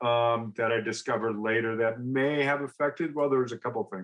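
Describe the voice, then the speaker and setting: Here is a man with a plain, everyday voice at medium pitch. He moves at a moderate pace with ordinary pitch variation. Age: 60s. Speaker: recovery guest, entrepreneur and business coach. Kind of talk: personal testimony in interview. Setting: podcast interview.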